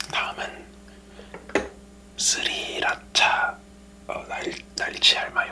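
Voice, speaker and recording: Against noticeable background noise, a man whispers at a very slow pace with long, frequent pauses. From Korea. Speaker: ASMR mukbang creator. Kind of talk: ASMR eating show chat. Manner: whispered.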